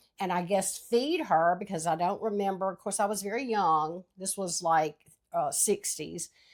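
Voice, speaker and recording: A woman speaks at a moderate pace and medium pitch with ordinary pitch variation, in a very clean recording with a silent background. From Louisiana. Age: 60s. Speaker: podcast co-host. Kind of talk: casual chat.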